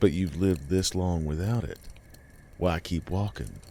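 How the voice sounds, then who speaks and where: Putting on a character voice, a man speaks at a moderate pace in a raspy, very deep, low register. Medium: read story. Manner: slow, calm, questioning.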